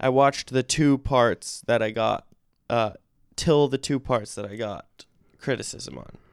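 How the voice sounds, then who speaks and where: Delivered at a fairly slow pace, a man's ordinary speaking voice shows ordinary pitch variation and big swings in loudness, with a dry, close sound and no echo. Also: medium pitch for a man. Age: 20s. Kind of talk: casual chat.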